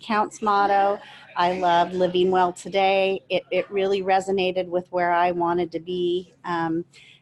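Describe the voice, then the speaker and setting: A woman talks at a moderate pace in a medium pitch. Her intonation is monotone and flat, with noticeable background noise behind her. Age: 50s. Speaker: Parkinson's patient ambassador. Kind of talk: panel discussion, personal introduction.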